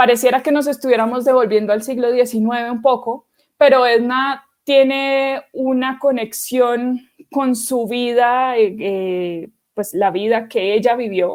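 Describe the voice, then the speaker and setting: A woman talks at a high pitch. Her intonation stays fairly even. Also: fairly slow pace. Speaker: literary scholar and editor. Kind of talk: lecture. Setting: virtual conference livestream.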